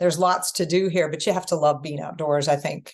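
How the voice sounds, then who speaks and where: A woman with a plain, everyday voice talks at a fairly low pitch with fairly even intonation. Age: 60s. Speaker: teacher and author. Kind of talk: podcast interview.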